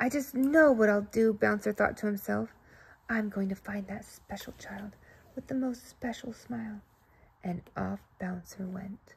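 A woman speaks at a fairly slow pace with ordinary pitch variation and big swings in loudness. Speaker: storybook reader. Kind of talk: reading a children's story aloud. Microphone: phone near.

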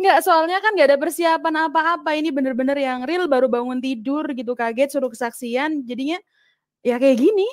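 High in pitch, a woman speaks at a very fast pace. Her pitch varies in an ordinary way. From Indonesia (Central Java). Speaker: convert to Christianity. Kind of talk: testimony. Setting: video call.

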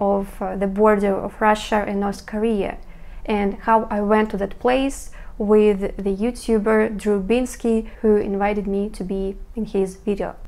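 A woman speaks at a moderate pace. Her tone is dark and mellow, with monotone, flat intonation. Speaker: vlogger. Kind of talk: casual vlog chat. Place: home room. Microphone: lapel.

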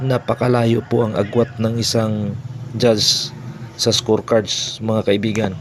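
A man's fairly low voice with a Filipino accent and monotone, flat intonation, over noticeable background noise. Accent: Filipino-accented Tagalog and English. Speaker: boxing commentator and channel host. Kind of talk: boxing commentary recap.

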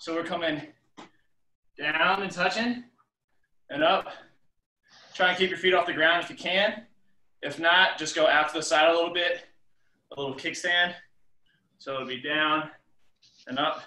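In a room with audible echo, a man with a high pitch and a bright, sharp tone speaks with long, frequent pauses. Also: ordinary pitch variation, moderate pace. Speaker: fitness instructor. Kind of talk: workout instruction. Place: home room. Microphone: video call.

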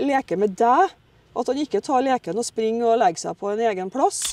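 The voice moves at a fairly quick pace in a dry sound with no echo. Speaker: dog trainer. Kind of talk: interview answer. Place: open country.

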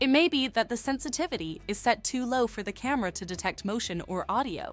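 A woman speaks at a very fast pace with a high pitch. The sound is dry with no echo, and faint music plays in the background. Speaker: presenter. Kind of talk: tutorial. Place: studio.

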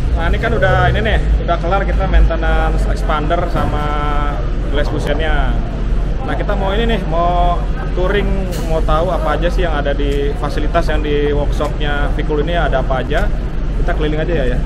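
A man talking at a fairly quick clip over loud background noise. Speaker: car vlogger. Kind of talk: casual vlog chat. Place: garage. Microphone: phone near.

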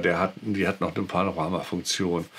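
A man talks at a moderate pace with a very deep, low pitch. Light background noise can be heard. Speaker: YouTube camera reviewer. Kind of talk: product review talk. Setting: outdoors. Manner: hesitant with filler words. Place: home room.

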